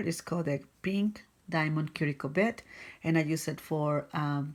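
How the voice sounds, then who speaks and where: At a fairly slow pace, a woman with a non-native accent speaks in a fairly low pitch with fairly even intonation. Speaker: nail technician. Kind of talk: product tutorial demo. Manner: casual, hesitant.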